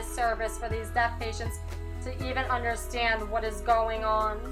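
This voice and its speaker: The delivery holds a moderate pace. Behind it, music plays. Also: woman. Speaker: deaf student narrator. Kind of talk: personal digital story narration.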